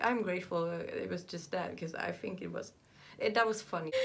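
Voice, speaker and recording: A woman speaks at a fairly quick pace in a Southern Swedish accent. There is audible room echo. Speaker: vlogger. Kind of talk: personal vlog monologue. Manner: halting.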